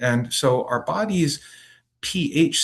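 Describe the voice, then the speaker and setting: Somewhat breathy, the voice moves through very wide pitch swings. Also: man, quiet background. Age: 60s. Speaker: acupuncturist giving a health workshop. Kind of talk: lecture. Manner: halting, many fillers.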